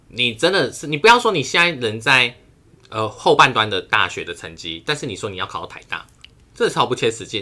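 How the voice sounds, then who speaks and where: This man talks at a fairly quick pace with a bright, sharp tone, a medium pitch, vocal fry, very wide pitch swings and big swings in loudness. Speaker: podcast co-host, university student. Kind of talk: casual chat. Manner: animated.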